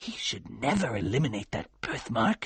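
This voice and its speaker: A man's put-on character voice, medium in pitch, at a moderate pace with very wide pitch swings. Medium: read story.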